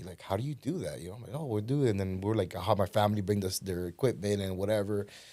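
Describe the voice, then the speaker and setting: Speaking very fast with a Spanish accent, a man has a dark, mellow tone and ordinary pitch variation. The recording is very clean, with a silent background. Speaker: podcast guest, real estate businessman. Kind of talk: casual interview conversation.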